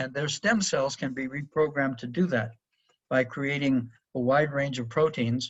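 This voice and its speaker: A man talks at a moderate pace in a fairly high, somewhat breathy voice. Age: 70s. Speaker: professor. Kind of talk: webinar lecture. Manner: hesitant with fillers.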